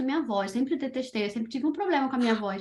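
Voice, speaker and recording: A high-pitched woman talks at a very fast pace. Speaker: children's podcaster. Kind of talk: interview.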